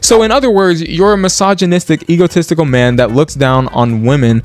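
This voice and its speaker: A man talks in an animated tone at a fairly quick pace, his fairly high voice making very wide pitch swings. Noticeable background noise is present. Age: 20s. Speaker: reddit commentary youtuber. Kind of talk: commentary reading reddit posts. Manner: casual, animated; stutters often.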